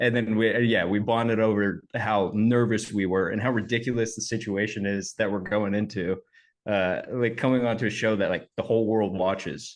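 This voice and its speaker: A man's fairly low voice, very even in loudness, with fairly even intonation. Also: moderate pace. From Oklahoma, US South. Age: 30s. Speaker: actor. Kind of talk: interview.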